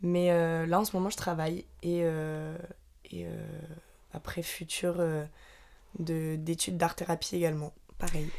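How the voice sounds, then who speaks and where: A woman's fairly low, monotone, flat voice at a fairly slow pace, with long, frequent pauses. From Normandy, France. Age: 20s. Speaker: podcast co-host. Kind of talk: casual chat.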